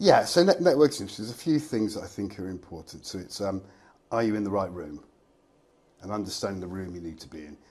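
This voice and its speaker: The man's voice sits fairly low, with a dark, mellow tone. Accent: English. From England, Reading. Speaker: fractional finance director. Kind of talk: casual interview chat.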